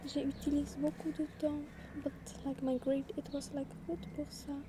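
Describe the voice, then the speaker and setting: Against noticeable background noise, a soft-spoken woman with a high pitch talks at a very slow pace. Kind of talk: ASMR soft-spoken talk to camera. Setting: outdoors.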